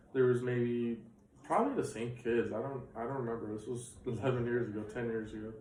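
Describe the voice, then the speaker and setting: A man's medium-pitched voice comes through audible room echo and clearly noticeable background noise. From Bulgaria. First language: Bulgarian. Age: 20s. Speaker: immigrant student interviewee. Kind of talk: interview.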